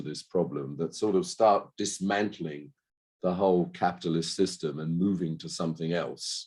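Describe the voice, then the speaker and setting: A man with a British accent speaks at a very deep, low pitch. His pace is moderate and his pitch variation ordinary. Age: 60s. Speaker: panellist at healthcare climate webinar. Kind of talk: panel discussion. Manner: halting.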